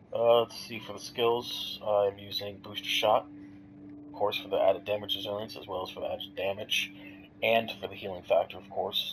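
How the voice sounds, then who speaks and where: A man at a moderate pace, with big swings in loudness and noticeable background noise. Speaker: gamer. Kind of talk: casual gameplay commentary. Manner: casual, hesitant.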